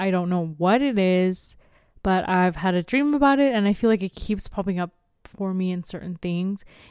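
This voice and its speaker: On a very clean recording with a silent background, a woman speaks at a moderate pace. She has an unremarkable speaking voice with ordinary pitch variation. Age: 20s. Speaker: podcast co-host. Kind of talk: casual chat.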